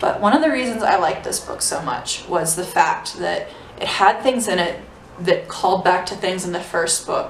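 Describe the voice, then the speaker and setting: Medium-pitched female voice, ordinary pitch variation, noticeable background noise and audible room echo. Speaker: book vlogger. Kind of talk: casual book review vlog. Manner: fast.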